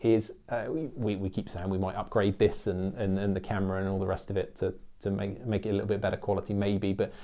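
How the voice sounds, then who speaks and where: Very fast speech comes from a man with an English accent in a very clean recording with a silent background. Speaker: accountant and business YouTuber. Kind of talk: channel update monologue. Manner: animated.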